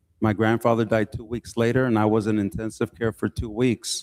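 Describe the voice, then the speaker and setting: A man with a plain, everyday voice speaks at medium pitch and a moderate pace, recorded very cleanly against a silent background with a dry, close sound and no echo. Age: 60s. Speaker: city council member. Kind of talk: public meeting remarks.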